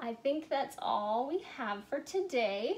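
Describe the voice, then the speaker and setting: A woman speaks at a very slow pace in a high pitch. Her intonation is lively. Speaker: teacher of a kids' language lesson. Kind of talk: tutorial for children. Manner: casual, friendly. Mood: calm, friendly sign-off. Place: home room. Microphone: camera far.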